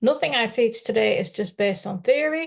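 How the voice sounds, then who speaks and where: A woman speaks with a Dutch accent at a moderate pace. Her pitch is fairly high. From Netherlands. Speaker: life coach. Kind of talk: live webinar presentation. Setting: live online stream.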